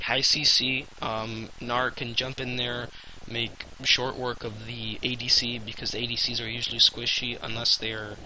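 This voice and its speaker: Noticeable background noise is present throughout. This man talks at a fairly slow pace. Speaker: gaming youtuber. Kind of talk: casual video commentary. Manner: hesitant, many fillers.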